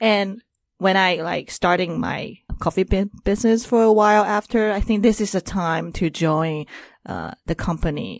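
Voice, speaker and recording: A woman talks at a moderate pace with ordinary pitch variation. The sound is dry and close with no echo, over a quiet background. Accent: Taiwanese. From Taiwan. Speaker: entrepreneur in crypto business development. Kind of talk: casual interview chat. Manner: halting, hesitant with fillers.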